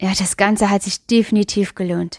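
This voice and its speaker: Fairly even intonation sits on a very clean recording with a silent background. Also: woman. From Luxembourg. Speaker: podcast host and educator. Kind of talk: solo podcast monologue.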